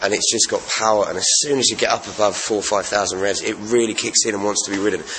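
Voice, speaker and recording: A man with an English accent talks at a very fast pace and a fairly low pitch. His intonation stays fairly even over noticeable background noise. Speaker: radio DJ and motorcycle reviewer. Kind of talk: casual vlog review.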